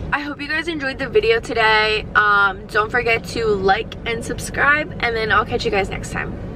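A woman speaks at a moderate pace with hardly any pauses and ordinary pitch variation, the sound dry with no echo and noticeable background noise around her. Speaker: vlogger. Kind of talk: casual vlog chat. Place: car. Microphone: phone near.

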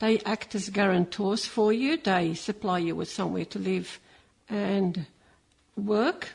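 A woman speaks at a medium pitch with a somewhat breathy quality against a quiet background. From Malta, then Sydney. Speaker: Maltese migrant. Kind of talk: interview testimony.

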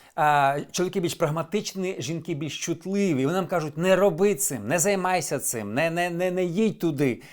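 A high-pitched male voice on a very clean recording with a silent background. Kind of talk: personal advice monologue. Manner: candid, conversational.

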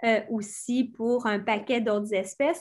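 Against a quiet background, a woman speaks fairly slowly in a fairly high pitch with fairly even intonation. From Quebec, Montérégie; Quebec. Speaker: environmental speaker; speaker. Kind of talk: lecture. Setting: video call. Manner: halting, many repetitions. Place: home room. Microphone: webcam.

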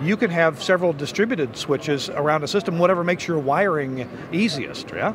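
Over clear background noise, a man talks with lively intonation at a fairly high pitch. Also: moderate pace.

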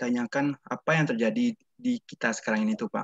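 Against a quiet background, a man speaks with a dry sound and no echo. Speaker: student. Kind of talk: class discussion. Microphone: video call.

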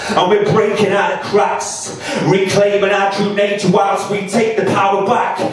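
In a room with strong echo, a man talks at a moderate pace in a high, flat, monotone voice. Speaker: performance poet. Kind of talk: spoken word poetry performance. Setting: live spoken word night. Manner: rhythmic, impassioned. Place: bar.

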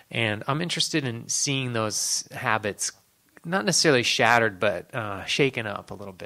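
With a Midwestern US accent, a man speaks in a bright, sharp tone. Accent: US Midwest. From rural Ohio, near Cleveland. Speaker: novelist; guest. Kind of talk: panel discussion. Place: hall.

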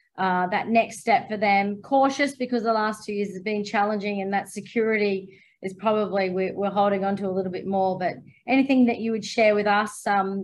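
A woman at a moderate pace, her intonation fairly even. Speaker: interviewer. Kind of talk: interview. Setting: video call. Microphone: video call.

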